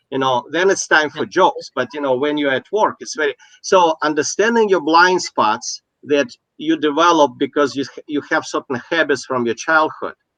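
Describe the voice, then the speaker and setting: With a non-native accent, a man at a fairly high pitch speaks at a moderate pace in a bright, sharp tone, with ordinary pitch variation and a dry, close sound free of echo. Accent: noticeable foreign. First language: not English. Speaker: business coach. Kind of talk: casual chat. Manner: halting.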